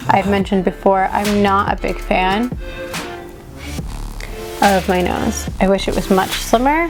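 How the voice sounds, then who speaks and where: Background music under a woman's fairly slow pace. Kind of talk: casual makeup tutorial to camera.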